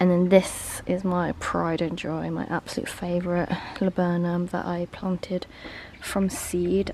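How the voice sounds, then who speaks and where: Noticeable background noise sits behind a woman speaking with an English accent. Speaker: vlogger. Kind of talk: casual vlog talk. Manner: soft-spoken.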